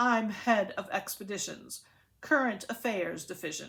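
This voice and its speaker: Using a put-on character voice, a woman speaks at a moderate pace and medium pitch with ordinary pitch variation. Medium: read story. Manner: stiff, formal.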